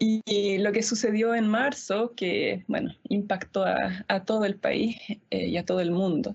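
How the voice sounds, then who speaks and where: A woman's somewhat breathy voice moves at a fairly slow pace, with a medium pitch, fairly even intonation and very even loudness. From Easter Island (Rapa Nui), Chile. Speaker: pianist and music school director. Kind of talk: panel discussion.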